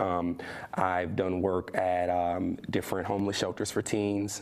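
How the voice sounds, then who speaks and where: Over noticeable background noise, a man talks at a moderate pace in a very deep, low pitch. His intonation is flat and monotone. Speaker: spoken word artist. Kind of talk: interview answer.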